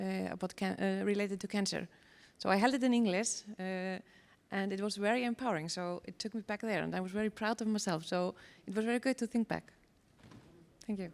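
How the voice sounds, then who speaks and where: Someone with an Icelandic accent speaks very fast, with fairly even intonation. Long, frequent pauses break up the speech on a very clean recording with a silent background. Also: woman, medium pitch for a woman. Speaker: cancer society worker. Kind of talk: sharing experience.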